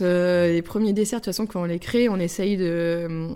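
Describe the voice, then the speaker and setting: Her tone is dark and mellow. The woman keeps a moderate pace with fairly even intonation. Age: 30s. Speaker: pastry chef. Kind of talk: interview.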